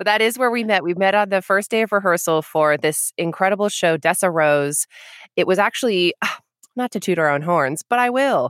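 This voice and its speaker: A woman has a plain, everyday voice, medium in pitch and lively in intonation, talking at a fairly quick pace in a dry, close sound with no echo. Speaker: actress, sound designer and editor. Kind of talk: casual chat.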